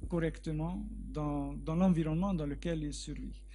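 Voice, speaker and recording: A man with a Hungarian accent at a fairly slow pace, with audible room echo and music in the background. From Hungary. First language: Hungarian (speaking French). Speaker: research biologist. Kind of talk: Q&A after a lecture. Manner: halting, with repetitions.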